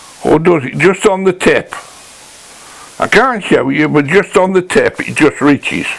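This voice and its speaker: A man at a moderate pace with long, frequent pauses over noticeable background noise. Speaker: woodworking channel host. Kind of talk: workshop tutorial. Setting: workshop. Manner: casual, hesitant; quiet. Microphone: poor sound, mic badly set up.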